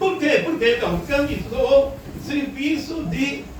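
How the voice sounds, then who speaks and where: Very slow speech comes with audible room echo and noticeable background noise. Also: man. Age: 70s. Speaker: spiritist lecturer. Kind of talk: lecture. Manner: conversational, addresses audience directly.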